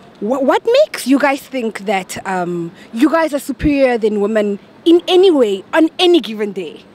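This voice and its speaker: A woman speaks at a moderate pace with a high pitch and very wide pitch swings. The sound is dry and close with no echo, though background noise is noticeable. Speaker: street interviewer, show host. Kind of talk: vox pop street interviews. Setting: outdoors. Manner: animated.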